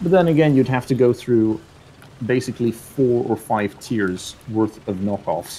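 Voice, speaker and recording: A man with a British accent, medium in pitch and dark, mellow in tone, at a fairly slow pace with lively intonation. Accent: British-sounding. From Netherlands. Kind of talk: casual chat.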